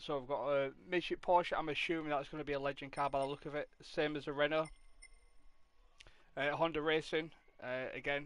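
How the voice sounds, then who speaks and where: In a Yorkshire accent, the speaker uses a relaxed tone and monotone, flat intonation at a fairly quick pace broken by long, frequent pauses. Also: man, fairly high pitch for a man. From Yorkshire, northern England (Hull area). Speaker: gaming streamer. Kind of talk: casual live-stream commentary. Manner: relaxed, hesitant with fillers.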